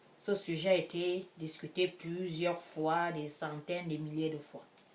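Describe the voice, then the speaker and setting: Her intonation is monotone and flat. The woman's pitch sits fairly low. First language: an African language, French second (speaking French). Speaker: vlogger. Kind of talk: casual vlog monologue. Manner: halting, many restarts.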